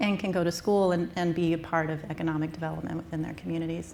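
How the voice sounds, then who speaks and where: In an American accent, a woman with a fairly low pitch speaks in a monotone, flat intonation, with audible room echo. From US Southwest. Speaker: startup founder presenting wastewater technology. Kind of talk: conference presentation.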